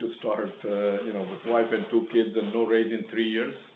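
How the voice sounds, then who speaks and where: Audible room echo surrounds speech that moves at a moderate pace. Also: man. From India. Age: 80s+. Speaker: retired engineer, business owner. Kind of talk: public meeting testimony. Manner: halting.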